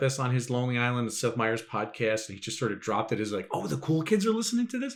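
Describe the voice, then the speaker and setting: Noticeable background noise fills the recording. A man speaks at a very fast pace. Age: 50s. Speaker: podcast co-host. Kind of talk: casual chat. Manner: halting, many repeated words.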